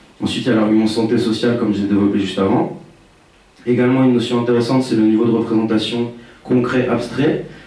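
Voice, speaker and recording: A man's medium-pitched voice at a very fast pace, with very even loudness, fairly even intonation, audible room echo and noticeable background noise. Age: 20s. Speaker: researcher. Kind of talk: conference presentation. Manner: hesitant, many fillers.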